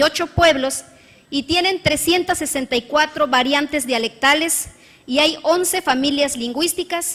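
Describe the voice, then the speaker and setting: A woman speaks at a fairly slow pace in a high pitch with a bright, sharp tone. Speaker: state legislator. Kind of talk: parliamentary speech. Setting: legislative chamber. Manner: formal.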